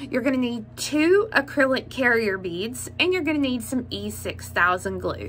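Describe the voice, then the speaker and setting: Light background noise behind a woman talking at a moderate pace. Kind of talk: tutorial. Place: home room. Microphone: phone near.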